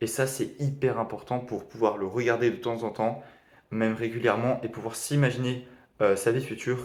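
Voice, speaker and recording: A man speaks at a medium pitch. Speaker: e-commerce beginner vlogger. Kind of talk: video diary summary of a training course. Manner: fast; hesitant, many fillers.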